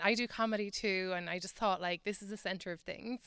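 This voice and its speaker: A woman with an Irish accent speaks at a very fast pace and a fairly high pitch, her bright, sharp tone captured with a dry, close sound, no echo, in a very clean recording with a silent background. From Ireland. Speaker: comedian and writer. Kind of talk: radio interview.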